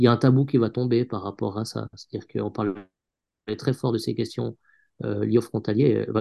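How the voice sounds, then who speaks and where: A man at a moderate pace, long and frequent pauses, the sound dry and close with no echo. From Switzerland, canton of Vaud. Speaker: journalist. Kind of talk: interview. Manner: halting, many repetitions.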